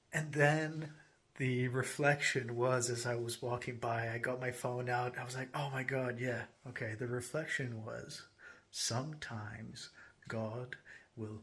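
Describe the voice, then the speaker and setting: A man's medium-pitched voice, fairly slow pace and fairly even intonation. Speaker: spiritual vlogger. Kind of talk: casual vlog reflection. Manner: hesitant with fillers.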